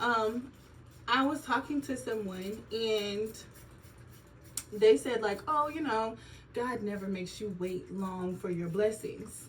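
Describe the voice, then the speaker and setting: In a somewhat breathy, fairly high voice, a woman talks at a very slow pace with lively intonation and long, frequent pauses, with audible room echo. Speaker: nurse vlogger. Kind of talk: casual vlog monologue. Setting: filming at home on an iPad during skincare routine. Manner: chatty, casual.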